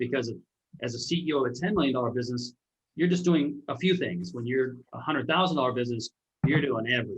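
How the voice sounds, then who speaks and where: A man talks at a very fast pace with lively intonation and a medium pitch. His voice is somewhat breathy. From Alaska. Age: 50s. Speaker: entrepreneur and author. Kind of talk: interview conversation.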